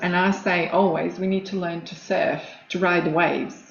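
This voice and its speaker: A woman talks at a fairly slow pace with a Croatian accent. Noticeable background noise and audible room echo fill the recording. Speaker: coach and former nurse. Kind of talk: casual interview chat.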